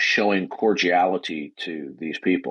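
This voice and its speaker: Recorded dry and close with no echo, a man speaks at a fairly slow pace. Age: 60s. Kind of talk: heated debate. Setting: online audio chat room. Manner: animated.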